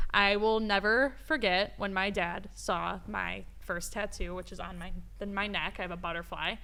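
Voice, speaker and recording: In a Chicago accent, a woman talks at a moderate pace and medium pitch with vocal fry. Her tone is bright and sharp, and room echo is audible. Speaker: podcast co-host. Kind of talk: casual chat. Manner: animated.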